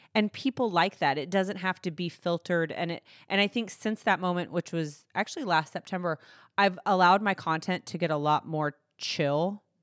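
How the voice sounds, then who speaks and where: A woman with a Texan accent talks at a moderate pace in a fairly low pitch with ordinary pitch variation. The recording is very clean with a silent background and a dry, close sound with no echo. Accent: Texan American. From Texas, Fort Worth. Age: 30s. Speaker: lifestyle blogger. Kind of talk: interview. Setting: studio.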